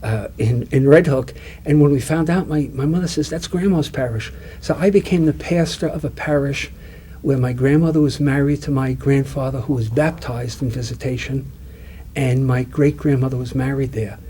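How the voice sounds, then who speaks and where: A fairly high-pitched man with a Brooklyn accent, at a moderate pace and ordinary pitch variation, over noticeable background noise. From Long Island, New York, US. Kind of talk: interview. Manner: halting, many fillers and repeats.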